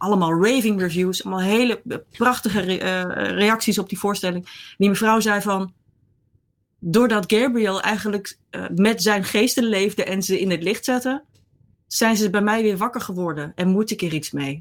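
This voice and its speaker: Medium-pitched female speech with ordinary pitch variation, an unremarkable speaking voice, and a moderate pace. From Netherlands. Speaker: columnist. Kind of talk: interview.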